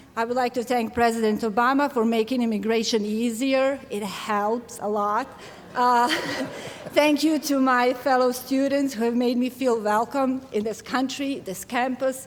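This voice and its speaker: Over noticeable background noise, a woman with a Serbian accent speaks at a high pitch and moderate pace with fairly even intonation. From Bosnia. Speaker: graduating student. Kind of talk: commencement speech.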